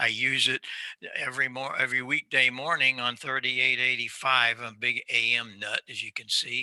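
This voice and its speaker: In an American accent, a man with a medium pitch and a bright, sharp tone speaks at a moderate pace, heard dry and close with no echo. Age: 80s+. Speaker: audio expert and amateur radio operator. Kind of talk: presentation. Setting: video call. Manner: animated.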